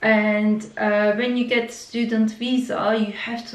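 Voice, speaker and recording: A woman's fairly high, monotone, flat voice at a very slow pace, with noticeable background noise and audible room echo. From Turkey. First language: Turkish. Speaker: vlogger. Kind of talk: personal story. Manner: halting, many fillers.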